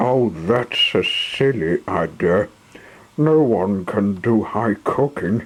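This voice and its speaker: Noticeable background noise sits behind a man who speaks very slowly, with long, frequent pauses. His intonation is lively, and his loudness stays very even. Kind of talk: story narration of a toy train tale, with character voices.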